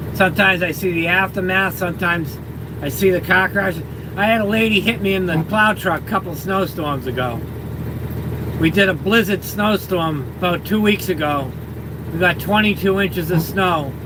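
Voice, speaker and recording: Over noticeable background noise, a man with a Boston accent uses a raised, projected voice at a high pitch, with ordinary pitch variation and a moderate pace. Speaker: livestreamer, truck driver. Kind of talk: casual live stream chat. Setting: in a plow truck.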